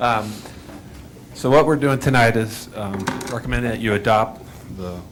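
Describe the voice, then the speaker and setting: The pace is moderate and the pitch variation ordinary. Background noise is noticeable. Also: man, medium pitch for a man. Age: 60s. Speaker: city finance director. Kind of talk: formal budget presentation.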